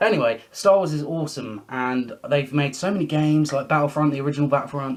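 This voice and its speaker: A man speaks at a very fast pace with medium pitch and ordinary pitch variation. There is noticeable background noise. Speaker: YouTuber. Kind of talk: casual vlog monologue. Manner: stammering repetitions.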